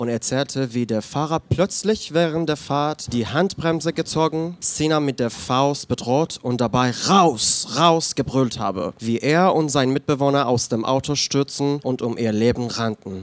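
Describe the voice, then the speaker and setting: A man speaks fairly slowly at a medium pitch, his intonation lively. He has a plain, everyday voice. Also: dry, close sound with no echo. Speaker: queer activist and writer. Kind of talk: reading aloud own essay. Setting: bar stage with live audience.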